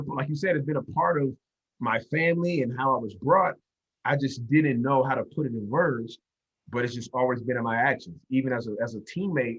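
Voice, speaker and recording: A somewhat breathy man with an American accent talks at a moderate pace, his fairly high pitch moving with lively intonation. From US South, Durham, North Carolina. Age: 30s. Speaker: sports coach. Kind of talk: podcast interview.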